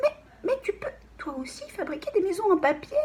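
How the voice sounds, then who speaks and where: A put-on character voice at an extremely high pitch leaps through very wide pitch swings. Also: moderate pace. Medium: read story. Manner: panicky, shrill cries for help.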